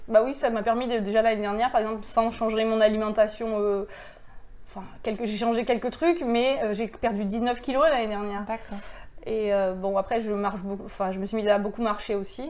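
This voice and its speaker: Her pitch is fairly high for a woman. She keeps a moderate pace with fairly even intonation. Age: 40s. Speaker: abuse survivor sharing her story. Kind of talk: testimony. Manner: halting.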